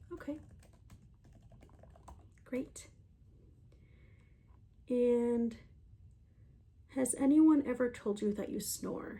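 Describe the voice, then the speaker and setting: A soft-spoken woman with a high pitch and a gentle, calm tone talks at a very slow pace, her pitch varying in an ordinary way, with long, frequent pauses. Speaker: ASMR creator. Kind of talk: soft-spoken ASMR roleplay, sleep consultation. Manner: soft-spoken, gentle, calm.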